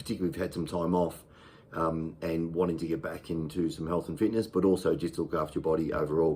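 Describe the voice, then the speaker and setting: The recording is very clean, with a silent background. A man talks in an Australian accent. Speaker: fitness channel host. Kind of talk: casual talk to camera. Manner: hesitant, many fillers.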